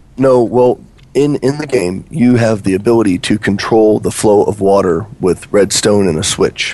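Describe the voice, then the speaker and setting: Using an ordinary speaking voice, a man talks at a moderate pace and a fairly low pitch with ordinary pitch variation. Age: 30s. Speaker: Minecraft YouTuber and website owner. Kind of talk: casual chat.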